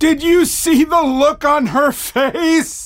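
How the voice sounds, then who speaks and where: Loud and at a very slow pace, a man performs a put-on character voice with an extremely high pitch. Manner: belting, loud.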